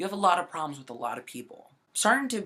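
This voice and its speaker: Animated and bright with a sharp edge, a man's voice swings very widely in pitch. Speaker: video blogger. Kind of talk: personal story vlog. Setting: sitting on bed, laptop recording. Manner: loud, projecting.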